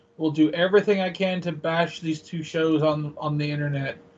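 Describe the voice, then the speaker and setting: Fairly high in pitch with fairly even intonation, a man talks at a fairly quick pace. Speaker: comic convention vendor. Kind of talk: casual interview chat. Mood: annoyed, complaining about shows. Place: home room. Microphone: video call.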